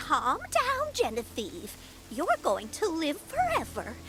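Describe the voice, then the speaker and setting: A put-on character voice speaks at a very slow pace with a high pitch. Clear background noise runs underneath. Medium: video game. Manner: prim, chatty.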